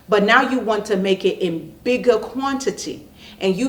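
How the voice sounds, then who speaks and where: Noticeable background noise surrounds a woman speaking at a fairly high pitch. Her tone is animated. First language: not English. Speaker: online business coach and channel host. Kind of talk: casual talk to camera.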